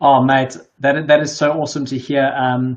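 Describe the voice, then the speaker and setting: A man with a South African accent speaks at a fairly high pitch. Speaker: live stream host. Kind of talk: casual chat.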